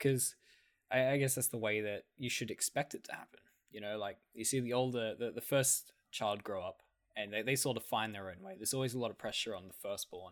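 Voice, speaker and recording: On a very clean recording with a silent background, a man speaks with an Australian accent at a fairly quick pace. His pitch is medium, with ordinary variation. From Australia, country town. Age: 20s. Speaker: podcast co-host. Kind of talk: casual chat.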